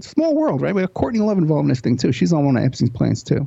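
A man with an American accent. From New York. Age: 50s. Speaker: private investigator and radio host. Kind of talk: interview.

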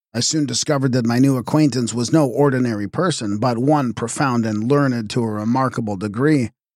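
Someone reads aloud plainly, the pitch shifting in an ordinary way.

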